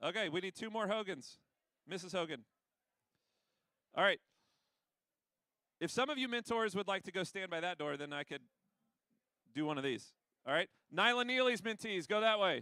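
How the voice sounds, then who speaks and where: Recorded dry and close with no echo, a man with a high pitch and a bright, sharp tone raises and projects his voice, using lively intonation and long, frequent pauses. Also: moderate pace. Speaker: school administrator. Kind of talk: announcements to students. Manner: loud.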